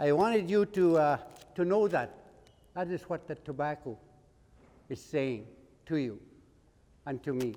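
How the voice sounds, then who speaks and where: A man with a fairly high pitch and a dark, mellow tone talks at a moderate pace with lively intonation and long, frequent pauses. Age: 70s. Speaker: elder and cultural teacher. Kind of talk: talk to students and hands-on instruction. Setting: school garden area with students. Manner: directive, repetitive instructions.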